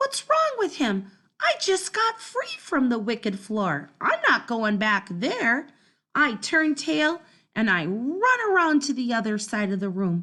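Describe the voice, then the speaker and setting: Woman in a put-on character voice, high-pitched, at a fairly slow pace. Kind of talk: first-person children's story reading. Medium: read story. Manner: lively, dramatic.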